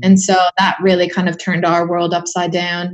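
Her delivery is monotone and flat. The woman speaks at a very fast pace. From Hawaii. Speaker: film photographer. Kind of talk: casual chat.

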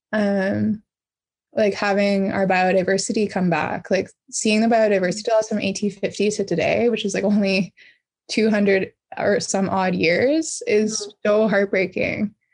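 In a Canadian accent, the speaker uses a normal speaking voice at a fairly slow pace, with fairly even intonation. Loudness stays very even against a quiet background. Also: woman, medium pitch for a woman. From Canada, Pacific Northwest (Squamish Nation, BC). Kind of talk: interview conversation.

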